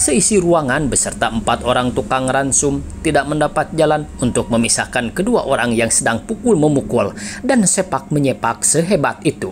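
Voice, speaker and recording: A man speaks at a moderate pace in a dramatic tone, his fairly high voice showing lively intonation over noticeable background noise. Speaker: audiobook narrator. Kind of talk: literary audiobook reading, scripted narration of a historical novel. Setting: solo recording for a YouTube channel. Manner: measured, dramatic storytelling, formal and steady; shifts into gruff, mocking tones for dialogue of characters.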